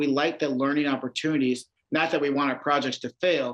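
The speaker has a Midwestern American accent. The pace is fairly quick. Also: man. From Iowa. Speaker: public defender. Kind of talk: interview.

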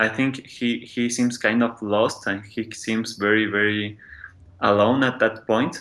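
In a Spanish accent, a man of medium pitch talks fairly slowly with monotone, flat intonation. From Mexico City. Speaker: podcast listener guest. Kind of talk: casual chat.

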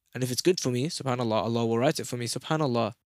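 Recorded very cleanly against a silent background, a man speaks with ordinary pitch variation in a dry, close sound with no echo. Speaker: podcast host. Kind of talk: religious talk, casual monologue. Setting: solo podcast recording. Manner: fast talker; earnest, conversational.

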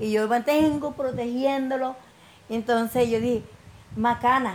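A woman speaks over noticeable background noise. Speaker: coffee farmer and entrepreneur. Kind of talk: personal testimony.

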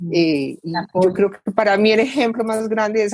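A woman speaks at a moderate pace with an ordinary speaking voice. Her pitch is medium and varies in an ordinary way. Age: 60s. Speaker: civil engineer, participant. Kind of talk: testimony.

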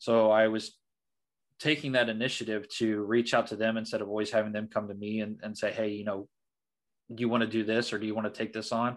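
A man with a Midwestern American accent talks at a fairly quick pace in a fairly low pitch. His intonation is monotone and flat against a quiet background. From southern Indiana. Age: 20s. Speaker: career consultant. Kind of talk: interview.

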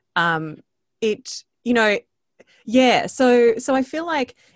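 Very wide pitch swings from a woman with an Australian accent, dry and close with no echo, over a quiet background. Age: 40s. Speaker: podcaster and voice coach. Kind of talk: interview conversation.

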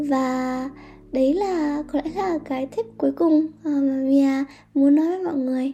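The woman's voice sits high in pitch. She speaks at a very slow pace with fairly even intonation. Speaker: podcast host. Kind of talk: personal monologue. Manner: halting, many fillers.

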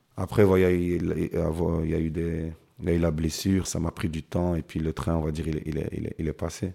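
A man speaks at a very deep, low pitch with hardly any pauses. His tone is dark and mellow, and his intonation is monotone and flat. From Brussels, Belgium (born in Kinshasa). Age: 30s. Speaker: professional footballer. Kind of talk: interview. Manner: halting, frequent repetitions and hesitations.

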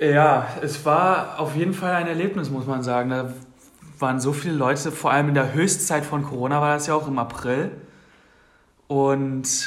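Pausing long and often, a man with a fairly high pitch talks at a moderate pace with fairly even intonation, and audible room echo surrounds him. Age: 20s. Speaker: podcast co-host. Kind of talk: casual chat.

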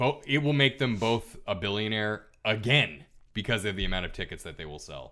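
Recorded very cleanly over a silent background, a man with a fairly low pitch, a bright, sharp tone and vocal fry speaks at a moderate pace. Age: 30s. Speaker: podcast co-host. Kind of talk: casual chat. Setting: studio.

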